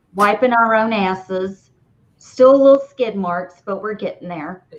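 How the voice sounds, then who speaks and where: A woman with a strong Southern US accent talks fairly slowly at medium pitch, her pitch varying in an ordinary way. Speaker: podcast host. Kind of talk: casual chat. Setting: live stream.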